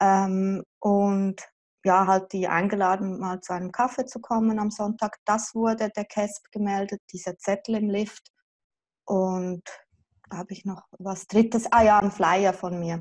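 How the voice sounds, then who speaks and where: Over a quiet background, a woman talks at a fairly slow pace in a monotone, flat intonation. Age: 40s. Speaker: mother affected by child removal. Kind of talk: interview. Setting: video call. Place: home room. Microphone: video call.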